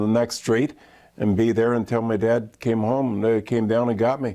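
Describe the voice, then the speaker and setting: At a moderate pace, a man speaks in a dark, mellow tone of medium pitch against a quiet background. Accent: Ontario. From Canada, Midland, Ontario. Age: 60s. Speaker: former pro hockey player and broadcaster. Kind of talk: interview.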